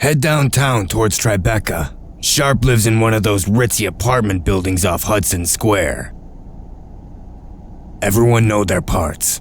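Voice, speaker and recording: A man in a put-on character voice speaks at a fairly low pitch and a moderate pace, with long, frequent pauses. Background noise is clearly present. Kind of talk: comic dub.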